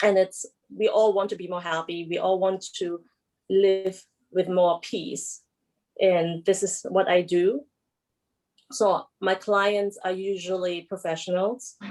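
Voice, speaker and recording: Speaking with a German accent, a woman uses medium pitch and fairly even intonation at a very slow pace with long, frequent pauses. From Germany. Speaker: emotional release therapist. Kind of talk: panel discussion self-introduction. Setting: video call.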